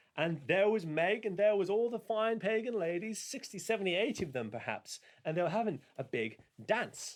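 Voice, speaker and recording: The voice has a playful tone and some vocal fry. Its pace is moderate. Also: man. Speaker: storyteller and fiddle player. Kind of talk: folk tale telling. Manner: playful, conversational.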